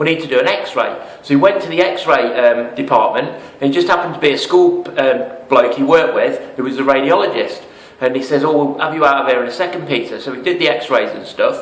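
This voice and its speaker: A man with an English accent speaks at a very fast pace. Audible room echo and noticeable background noise are present. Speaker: network marketing promoter. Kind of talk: sales pitch. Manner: animated.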